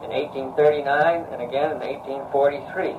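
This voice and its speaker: Over noticeable background noise, a man with an American accent talks at a fairly quick pace and a fairly high pitch. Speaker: bell foundry owner. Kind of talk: family history narration. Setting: small tape recorder, poor quality.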